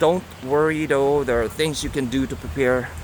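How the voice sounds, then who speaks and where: Noticeable background noise is present. The speaker has a non-native accent. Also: man. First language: not English. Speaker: book reviewer. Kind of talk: casual talk. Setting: outdoors in a park. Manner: halting, many fillers.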